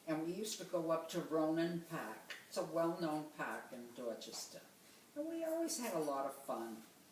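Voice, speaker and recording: Noticeable background noise and audible room echo surround a woman speaking at a moderate pace with very wide pitch swings. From Boston, Massachusetts. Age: 90s. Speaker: grandmother interviewed for oral history. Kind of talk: oral history interview.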